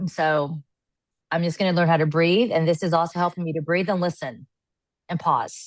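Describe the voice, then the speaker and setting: Against a quiet background, a woman speaks at a fairly quick pace in a fairly low pitch. She takes long, frequent pauses. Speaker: podcast co-host sharing life story. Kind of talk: casual podcast chat. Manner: loud, excitable.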